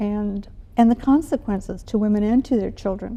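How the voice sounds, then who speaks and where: This woman has a fairly high pitch and a dark, mellow tone. She speaks at a moderate pace with ordinary pitch variation. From US Midwest, Milwaukee, Wisconsin. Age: 70s. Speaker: retired educator. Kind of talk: interview.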